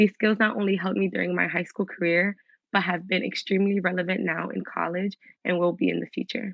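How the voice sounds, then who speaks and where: Speaking very fast with an American accent, a woman uses a medium pitch and fairly even intonation. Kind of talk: scripted speech. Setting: virtual event.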